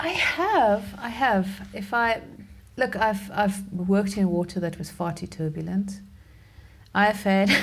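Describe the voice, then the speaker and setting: A woman speaks at a fairly slow pace and medium pitch. Her voice is somewhat breathy, with ordinary pitch variation. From South Africa. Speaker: underwater portrait photographer. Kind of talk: casual interview. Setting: remote call.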